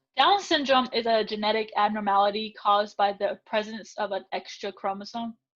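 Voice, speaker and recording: A plain, everyday voice from a woman, fairly high in pitch, fairly even in intonation, at a fairly quick pace with hardly any pauses. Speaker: tutor. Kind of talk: interview.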